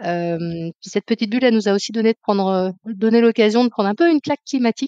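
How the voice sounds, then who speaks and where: A woman talks very fast at a fairly high pitch with ordinary pitch variation, in a dry, close sound with no echo. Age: 40s. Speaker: climate consultant. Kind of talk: interview. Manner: hesitant, many fillers.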